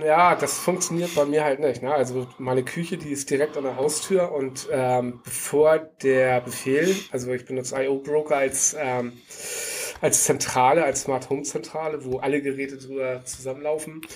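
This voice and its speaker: With noticeable background noise behind him, a man of fairly high pitch speaks at a moderate pace with fairly even intonation. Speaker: podcast co-host, tech worker. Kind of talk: casual chat. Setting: video call.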